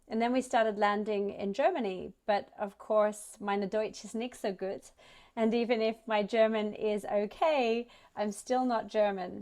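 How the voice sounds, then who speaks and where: In a very clean recording with a silent background, a woman with an Australian accent speaks fairly slowly in a fairly high voice with ordinary pitch variation. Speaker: startup ecosystem representative. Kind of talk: conference talk.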